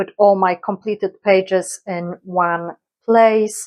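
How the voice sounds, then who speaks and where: Very slowly and in a flat monotone, a woman speaks with a Polish accent on a very clean recording with a silent background. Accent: Polish accent, non-native English. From Poland. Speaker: colouring YouTuber. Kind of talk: casual vlog introduction. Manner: hesitant, many fillers.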